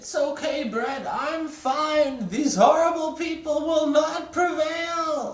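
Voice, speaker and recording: In a high-pitched, put-on character voice, the speaker goes at a very slow pace with hardly any pauses and slight echo. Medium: read story. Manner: pompous, theatrical.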